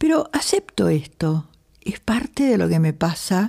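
Very wide pitch swings in a woman's dark, mellow tone. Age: 80s+. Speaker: yoga teacher. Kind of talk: talk to a yoga class.

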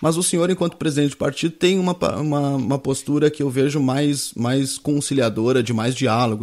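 A man with an unremarkable speaking voice talks at a fairly quick pace, his pitch medium with ordinary variation. The recording is very clean, with a silent background. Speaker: news show host. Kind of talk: live interview.

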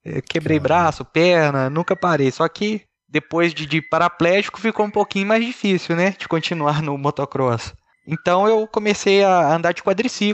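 The man's voice is high-pitched, with ordinary variation in pitch. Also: moderate pace. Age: 30s. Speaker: paraplegic kart driver. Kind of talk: interview.

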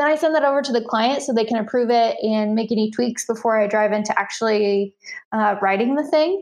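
A woman with an American accent speaks at a fairly quick pace in a fairly high pitch, with ordinary pitch variation and very even loudness. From US Midwest, central Illinois. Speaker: freelance content writer. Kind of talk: interview conversation.

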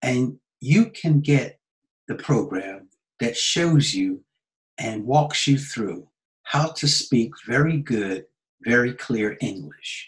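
With lively intonation and a somewhat breathy, medium-pitched voice, a man speaks at a very slow pace. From United States. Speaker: English teacher. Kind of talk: sales pitch.

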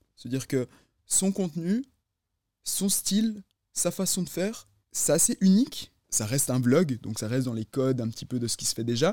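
On a very clean recording with a silent background and a dry, close sound with no echo, a man with a fairly high pitch and very wide pitch swings speaks at a moderate pace with long, frequent pauses. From Neuchâtel, Switzerland. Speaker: podcast co-host. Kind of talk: casual chat.

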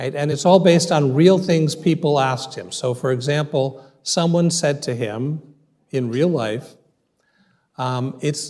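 A man speaks at a fairly high pitch with a dark, mellow tone and ordinary pitch variation. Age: 60s. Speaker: rabbi and dean of a rabbinical school. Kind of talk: audience Q&A; lecture.

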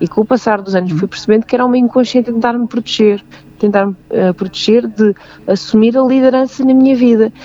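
Fairly high-pitched female speech with a European Portuguese accent, at a fairly quick pace, with very even loudness and a dry, close sound free of echo. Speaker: singer and belly dancer sharing bullying experience. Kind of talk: interview testimony. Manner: halting.

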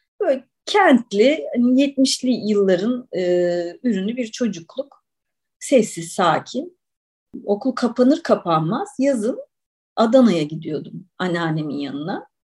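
At a very slow pace, a woman speaks somewhat breathily with a fairly high pitch and very wide pitch swings. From Istanbul, Turkey. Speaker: writer and olive oil taster. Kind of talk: podcast interview.

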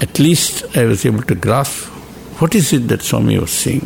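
A man speaks at a moderate speed, and noticeable noise can be heard behind him. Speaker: retired professor. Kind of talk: spiritual discussion.

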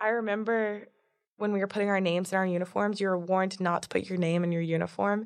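A woman with an American accent speaks very fast in a monotone, flat intonation at very even loudness. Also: medium pitch for a woman. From Florida. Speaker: university student. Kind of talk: testimony.

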